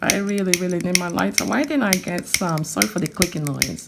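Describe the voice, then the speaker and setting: A woman with a Nigerian accent, her tone animated and her pitch variation ordinary, over noticeable background noise. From Nigeria (Onitsha, Anambra). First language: Igbo. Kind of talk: tutorial.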